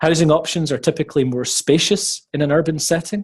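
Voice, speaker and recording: A man with a Scottish accent, somewhat breathy, at a moderate pace against a quiet background. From Scotland. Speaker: webinar presenter on teacher recruitment. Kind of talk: webinar presentation. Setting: online webinar.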